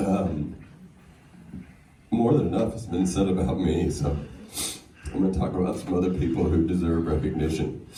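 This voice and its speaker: A man's very deep, low voice with an American accent, dark and mellow, somewhat breathy, with audible room echo. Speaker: singer. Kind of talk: acceptance speech. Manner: halting, many fillers.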